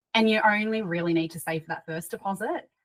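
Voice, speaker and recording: In an Australian accent, a woman talks at a fairly quick pace with a medium pitch and ordinary pitch variation. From Sydney, Australia. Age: 30s. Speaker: property investor. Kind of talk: podcast interview.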